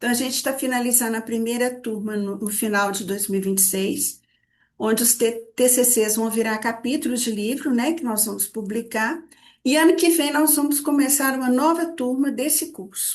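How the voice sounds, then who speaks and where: A woman speaks in a high pitch at a moderate pace. Her pitch varies in an ordinary way. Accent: Minas Gerais. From Minas Gerais, Brazil. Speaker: psychology institute director, therapist trainer. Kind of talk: online study group presentation. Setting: video call / live stream. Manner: hesitant repetitions.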